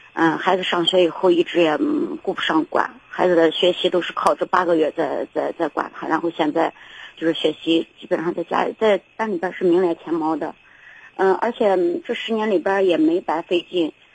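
A woman's fairly low voice at a moderate pace. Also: ordinary pitch variation. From rural China. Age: 40s. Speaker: caller, rural mother and small trader. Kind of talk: call-in advice show. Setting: phone call. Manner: halting, many repetitions.

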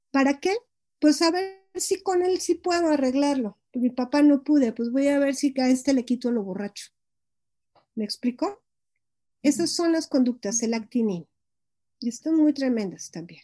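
A woman with a Mexican accent speaks at a fairly slow pace, her pitch high and her tone dark and mellow. Her intonation is lively, broken by long, frequent pauses, and the sound is dry and close with no echo. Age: 50s. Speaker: psychologist and gestalt therapist. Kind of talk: interview on psychology.

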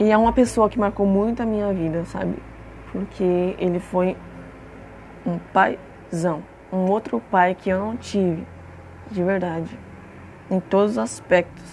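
At a fairly slow pace, a woman with a medium pitch and ordinary pitch variation talks with long, frequent pauses. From Brazil, Franco da Rocha, São Paulo state. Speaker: podcast host. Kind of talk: personal monologue, casual. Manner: casual, informal.

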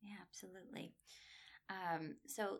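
A woman speaks with an American accent in a fairly low pitch. Her tone is bright and sharp. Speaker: PhD student and language instructor. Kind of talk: interview. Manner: frequent fillers.

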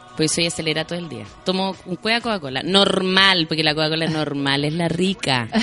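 A woman's fairly low, animated voice with a Chilean accent, ordinary pitch variation and hardly any pauses, over music in the background. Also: fairly quick pace. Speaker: actress. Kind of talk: casual chat. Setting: radio studio. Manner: animated, storytelling.

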